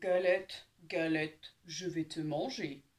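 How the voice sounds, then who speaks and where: A gruff, growling put-on character voice comes at a middle pitch and a fairly slow pace. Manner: growling, threatening.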